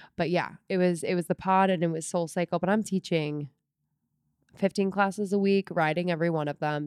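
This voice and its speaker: A woman talks in a plain, everyday voice, fairly low in pitch, at a moderate pace. Her intonation is fairly even, and the recording is very clean with a silent background. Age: 30s. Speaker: podcast co-host and former fitness instructor. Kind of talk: casual chat.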